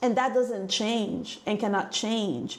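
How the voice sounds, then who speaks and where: Over noticeable background noise, a woman with an African accent speaks fairly slowly at a fairly high pitch, with ordinary pitch variation. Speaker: business coach. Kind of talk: motivational talk. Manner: animated.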